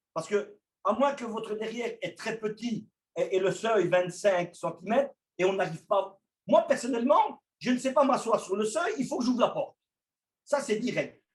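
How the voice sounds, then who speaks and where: A loud man with a high pitch talks at a moderate pace. His pitch varies in an ordinary way. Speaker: preacher. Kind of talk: sermon.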